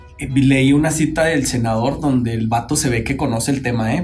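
A man talks at a moderate pace in a somewhat breathy, medium-pitched voice with ordinary pitch variation. Audible room echo surrounds his speech. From Chihuahua, Mexico. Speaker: podcast co-host. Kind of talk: casual panel discussion. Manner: animated, slangy.

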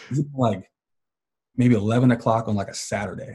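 The voice belongs to a man and has a dark, mellow tone. There is a somewhat breathy quality to it. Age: 30s. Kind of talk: casual chat.

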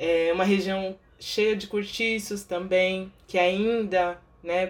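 Speaking very slowly, a woman keeps a medium pitch in a monotone, flat delivery. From Baixada Santista, São Paulo state, Brazil. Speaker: podcast co-host, social worker. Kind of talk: interview.

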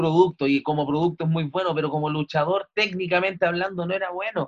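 Speaking very fast with hardly any pauses, a man with a Chilean accent uses a high voice and fairly even intonation. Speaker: comedian. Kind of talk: casual chat.

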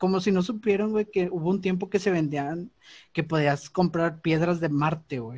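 Against a quiet background, a man in a northern Mexican accent speaks at a fairly slow pace with ordinary pitch variation. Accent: northern Mexican (regio). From Monterrey, northern Mexico. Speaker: podcast co-host. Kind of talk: casual chat.

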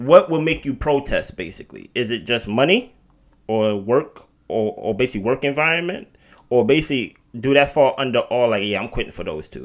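With lively intonation and big swings in loudness, a man talks fairly quickly at a medium pitch in a normal speaking voice. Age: 30s. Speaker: podcast co-host. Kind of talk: casual chat. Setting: at co-host's house.

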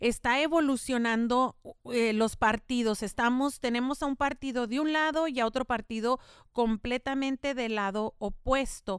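In a very clean recording with a silent background and a dry, close sound with no echo, a woman speaks at a high pitch and a very slow pace with fairly even intonation. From El Paso, Texas (Mexican-American household). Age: 50s. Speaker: podcast host, local politician. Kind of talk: casual bilingual talk show.

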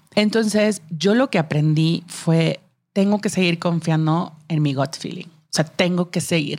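Someone with a slight Monterrey accent speaks at a fairly slow pace with ordinary pitch variation. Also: woman, big swings in loudness. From Monterrey, northern Mexico. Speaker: marketing executive, working mom. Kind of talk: casual interview chat. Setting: studio.

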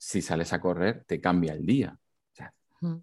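A man with a fairly low pitch talks at a fairly slow pace on a very clean recording with a silent background. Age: 40s. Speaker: entrepreneur and amateur marathon runner. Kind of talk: interview. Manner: halting, frequent repetitions.

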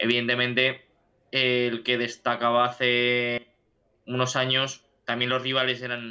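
A man speaks slowly-ish, at a fairly slow pace, in a medium pitch. His tone is bright and sharp, and his intonation is monotone and flat. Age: 20s. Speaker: football podcast co-host. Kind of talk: casual chat. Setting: online call.

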